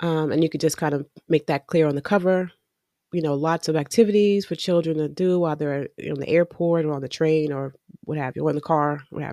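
The voice has a dark, mellow tone, a relaxed tone, and fairly even intonation. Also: woman, very deep, low pitch for a woman. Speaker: podcast host and attorney. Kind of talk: casual solo podcast tutorial. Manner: relaxed with frequent fillers.

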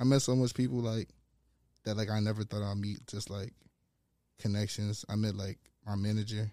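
With long, frequent pauses, a man with an American accent speaks at a moderate pace and a fairly low pitch, his tone dark and mellow and his intonation monotone and flat, in a very clean recording with a silent background. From New York, the Bronx, then Rhode Island. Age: 20s. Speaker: stylist and model. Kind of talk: casual interview.

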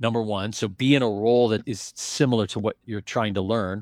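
Recorded very cleanly against a silent background, with a dry, close sound and no echo, a man speaks in an ordinary speaking voice at a fairly low pitch and fairly quick pace, with ordinary pitch variation. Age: 50s. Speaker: private equity investor and business school lecturer. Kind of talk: interview.

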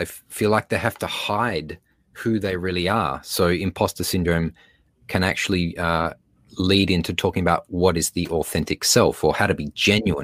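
In a very clean recording with a silent background and a dry, close sound with no echo, a man with an Australian accent speaks at a moderate pace in a very deep, low voice with fairly even intonation. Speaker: speaker and beatboxer. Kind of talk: casual interview chat.

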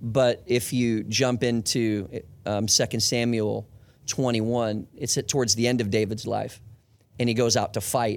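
The voice is a plain, everyday voice at a fairly slow pace. Intonation is fairly even and loudness very even. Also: man, medium pitch for a man. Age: 40s. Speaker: church executive staff leader. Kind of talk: podcast interview.

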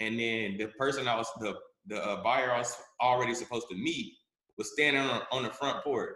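Speaking at a fairly quick pace, a man with an American accent keeps a medium pitch and fairly even intonation. His voice has audible room echo. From US South, Charlotte, North Carolina. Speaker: real estate wholesaler. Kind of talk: interview. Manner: halting.

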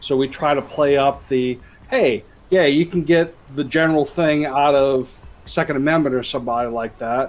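A man talks at a moderate pace with fairly even intonation and a fairly high pitch. He has an unremarkable speaking voice. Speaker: tabletop game player. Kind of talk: tabletop roleplaying game session.

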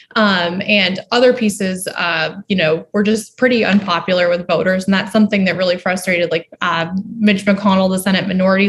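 A somewhat breathy woman's voice with an American accent, medium pitch, fairly even intonation and a fairly quick pace. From Boston area, Massachusetts. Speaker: political journalist. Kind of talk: interview.

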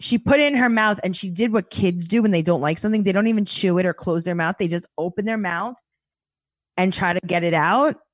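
A woman talks at a fairly quick pace in an animated tone, her medium pitch showing ordinary variation. The sound is dry and close, with no echo. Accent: New York. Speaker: podcast guest, podcast host. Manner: animated, comedic storyteller.

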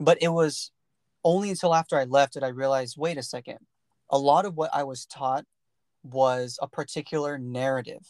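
An unremarkable speaking voice from a man with an American accent, fairly high in pitch, at a moderate pace with fairly even intonation, against a quiet background with a dry, close sound and no echo. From US, California Central Valley. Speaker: podcast host. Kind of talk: casual chat.

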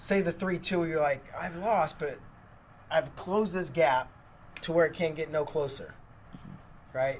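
This man has an unremarkable speaking voice with a fairly high pitch, ordinary pitch variation and a moderate pace. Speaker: podcast host. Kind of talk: casual chat. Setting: studio.

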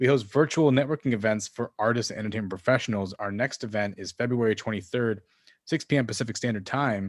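Delivered at a very fast pace, the voice has an animated, enthusiastic tone and ordinary pitch variation. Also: man, medium pitch for a man. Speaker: podcast host. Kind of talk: casual interview.

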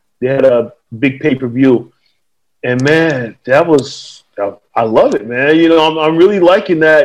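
Ordinary pitch variation marks a man's fairly high voice, spoken at a moderate pace with an American accent. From US South, North Carolina. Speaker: former pro wrestler, army veteran and podcaster. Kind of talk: casual interview. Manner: halting, many fillers.

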